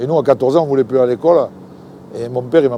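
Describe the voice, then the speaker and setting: A man with a medium pitch talks over noticeable background noise. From southern France, Languedoc (Palavas-les-Flots). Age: 60s. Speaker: fisherman. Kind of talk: interview. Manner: casual, halting with repetitions.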